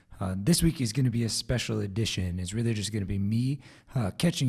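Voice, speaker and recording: Somewhat breathy speech in a dark, mellow tone moves at a fairly quick pace on a very clean recording with a silent background. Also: man. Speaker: podcast host. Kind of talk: solo podcast update.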